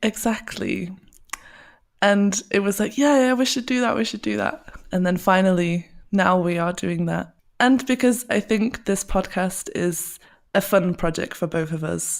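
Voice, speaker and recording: A woman with an English accent and a medium pitch, at a fairly slow pace with ordinary pitch variation, on a very clean recording with a silent background. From England. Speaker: podcast co-host, SEO specialist. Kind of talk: casual podcast chat.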